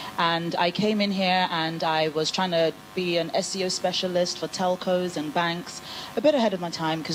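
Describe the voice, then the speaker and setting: Fairly low-pitched female speech in an English accent, at a fairly quick pace with fairly even intonation, against noticeable background noise. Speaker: business founder, panel speaker. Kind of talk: panel discussion.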